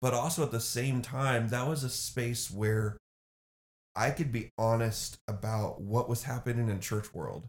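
A man's medium-pitched voice comes through somewhat breathy, with ordinary pitch variation. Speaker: pastor. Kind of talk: casual interview chat.

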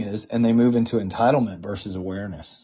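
A somewhat breathy man at a medium pitch, with an American accent and a very fast pace. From US South. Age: 40s. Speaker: political press secretary. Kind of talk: interview.

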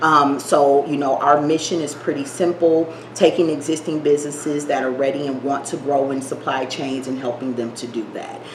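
Over noticeable background noise and audible room echo, a woman with a very deep, low voice speaks at a moderate pace with fairly even intonation and hardly any pauses. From Milwaukee, Wisconsin. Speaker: nonprofit executive director. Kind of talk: cooking demonstration; interview.

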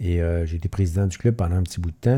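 This man's voice has a dark, mellow tone and is somewhat breathy. He talks at a very fast pace. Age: 50s. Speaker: long-distance cyclist and charity event organizer. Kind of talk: casual chat.

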